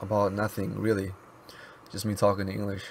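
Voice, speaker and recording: Noticeable background noise behind a man's fairly low voice. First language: Mizo. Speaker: YouTuber and app developer. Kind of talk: casual vlog monologue. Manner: halting, with many pauses and fillers.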